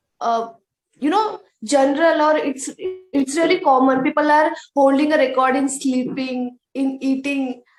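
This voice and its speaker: Against background music, a woman talks in a high pitch with fairly even intonation. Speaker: English learner, YouTuber. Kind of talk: conversation practice. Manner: speaks slowly on purpose.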